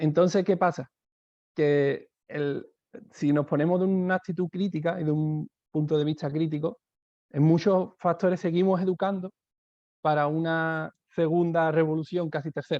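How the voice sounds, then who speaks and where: A man's high-pitched voice with a southern Spanish accent, moderate pace, fairly even intonation, long and frequent pauses, and a dry, close sound with no echo. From southern Spain. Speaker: education speaker, teacher. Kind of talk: webinar talk. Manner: hesitant, many fillers.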